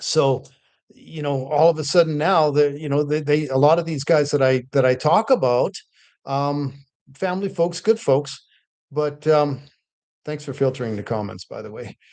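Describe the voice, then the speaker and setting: Over a quiet background, a man with a fairly high pitch talks at a moderate pace with ordinary pitch variation and big swings in loudness. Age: 60s. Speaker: real estate investor and livestream host. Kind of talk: casual livestream talk. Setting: livestream on two platforms. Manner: halting, with frequent fillers and repeats.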